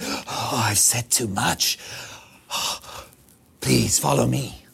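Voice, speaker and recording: A man's put-on character voice, very deep and low, raspy, with very wide pitch swings and a very slow pace. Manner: sheepish, hasty, as if caught saying too much.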